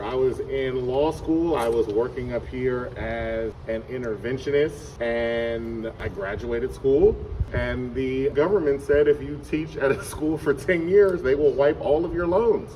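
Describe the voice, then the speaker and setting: There is noticeable background noise behind this man. He talks at a fairly slow pace with hardly any pauses. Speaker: middle school teacher. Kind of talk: casual interview. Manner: loud.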